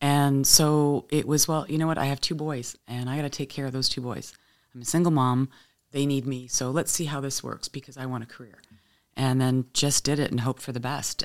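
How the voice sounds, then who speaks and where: In a Canadian accent, the speaker goes at a fairly quick pace on a very clean recording with a silent background. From Windsor, Ontario, Canada. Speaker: charity executive director and TV host. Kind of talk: casual interview chat. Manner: warm, friendly, chatty.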